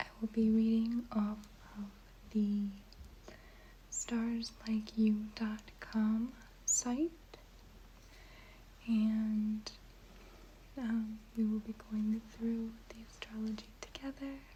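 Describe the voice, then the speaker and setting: A soft-spoken voice moves at a very slow pace. Long pauses come often. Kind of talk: casual talk to camera.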